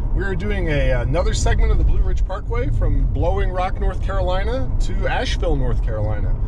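Loud background noise sits under a man speaking at a moderate pace, with a dry sound with no echo. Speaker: travel vlogger driving. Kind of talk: casual vlog chat. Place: car. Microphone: camera far.

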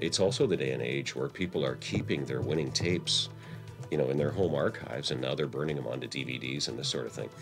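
Very deep, low pitch from a man at a very fast pace, with ordinary pitch variation and clear music in the background. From Canada. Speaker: horse race caller. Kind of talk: interview answer. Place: hall.

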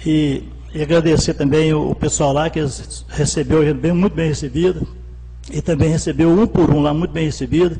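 Faint music sits in the background as a man talks at a moderate pace. He leaves long, frequent pauses. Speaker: city councillor. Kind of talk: council debate speech. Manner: colloquial, halting. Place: hall. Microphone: podium.

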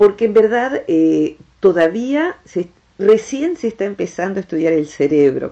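With an Argentine accent, a woman speaks at a moderate pace and with lively intonation. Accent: Argentine Rioplatense. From Argentina. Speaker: radio host, national broadcaster. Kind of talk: radio interview host. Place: studio.

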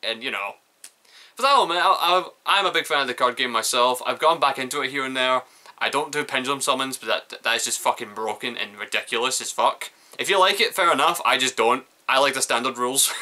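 Bright and sharp in tone, a man talks at a very fast pace with ordinary pitch variation. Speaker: reaction video host. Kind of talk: casual reaction commentary. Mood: sad but joking. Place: home room. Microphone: webcam.

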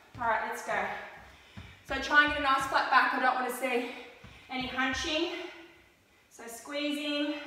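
In strong room echo, a woman uses a raised, projected voice at a moderate pace with fairly even intonation. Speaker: fitness instructor. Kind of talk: workout instruction. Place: home room. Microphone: camera far.

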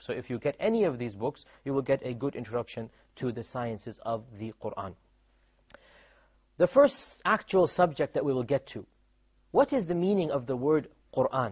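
A somewhat breathy man with an American accent, fairly high pitch, long, frequent pauses, quiet background. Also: moderate pace. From Houston, Texas, USA. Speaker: Islamic instructor. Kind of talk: religious lecture. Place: studio. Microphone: lapel.

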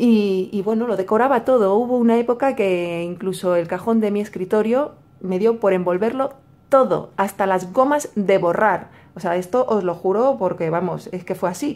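Speaking in a Madrid accent, a woman talks at a moderate pace. Her pitch is medium with ordinary variation. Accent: Madrid Spanish (Castilian). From Madrid, Spain. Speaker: YouTuber, crafts channel. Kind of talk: casual vlog / tutorial. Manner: hesitant, many fillers and repetitions.

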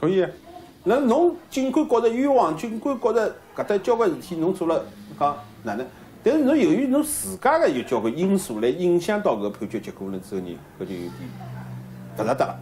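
A man speaks with long, frequent pauses. There is light background noise. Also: fairly quick pace. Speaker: lawyer. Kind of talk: interview.

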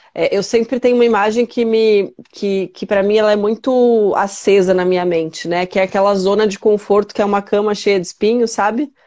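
Against a quiet background, a woman speaks at a fairly quick pace and medium pitch. Her intonation is fairly even, and she has an unremarkable speaking voice. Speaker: life coach. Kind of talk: casual chat. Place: home room. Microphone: connection freezing; earbuds.

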